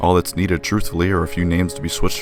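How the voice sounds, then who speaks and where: A man with a very deep, low voice talks while music plays behind him. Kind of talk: casual video essay commentary. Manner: flat, deadpan.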